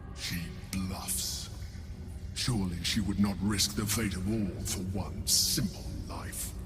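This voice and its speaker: Against loud background noise, a man performs a put-on character voice at a very deep, low pitch and a fairly slow pace. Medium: video game. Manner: cold, superior.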